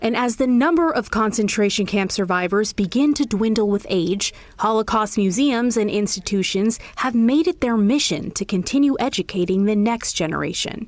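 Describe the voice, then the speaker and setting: An unremarkable speaking voice carries lively intonation at a moderate pace, with hardly any pauses and very even loudness. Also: woman, fairly high pitch for a woman. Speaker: news reporter. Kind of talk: TV news report narration.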